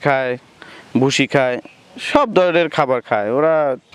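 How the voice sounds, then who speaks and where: The man's intonation is lively. The sound is dry and close with no echo, with noticeable background noise. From Bangladesh, Pabna. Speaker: goat farmer. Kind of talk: interview.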